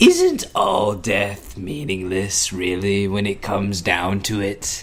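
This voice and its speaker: A man puts on a character voice at a fairly low pitch. He talks at a fairly slow pace against clear background noise. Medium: audio drama. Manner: mocking, casual, theatrical.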